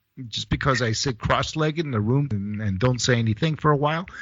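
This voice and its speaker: A man talks at a fairly quick pace. His medium-pitched voice has lively intonation. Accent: American. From Greece, with childhood years in the US. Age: 50s. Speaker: podcast co-host. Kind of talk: casual chat.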